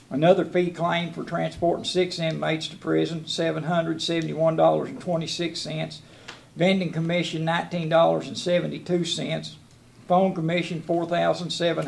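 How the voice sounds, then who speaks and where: With a Southern US accent, a man talks with big swings in loudness over light background noise. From US South. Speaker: jailer. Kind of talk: report to county board. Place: meeting room.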